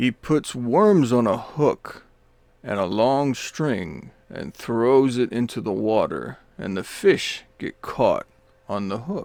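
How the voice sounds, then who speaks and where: Here a man puts on a character voice at a medium pitch. He delivers it at a very slow pace. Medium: read story.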